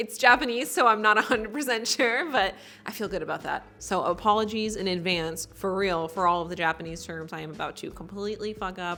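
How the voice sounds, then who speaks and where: Speaking with a Southern California accent, a woman talks at a fairly quick pace with hardly any pauses, her medium-pitched voice showing ordinary pitch variation and big swings in loudness. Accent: Valley Girl. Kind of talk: casual, breezy.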